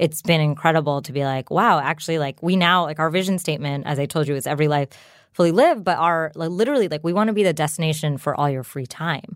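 With a New Jersey accent, a woman talks very fast in a very deep, low voice with ordinary pitch variation. The recording is very clean, with a silent background. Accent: American, New Jersey. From US, New Jersey. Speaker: startup founder. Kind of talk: interview. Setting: studio.

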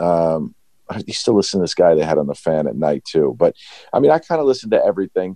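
In an American accent, a man talks at a very fast pace. The sound is dry and close, with no echo. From New York. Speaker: sports business manager. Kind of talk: interview.

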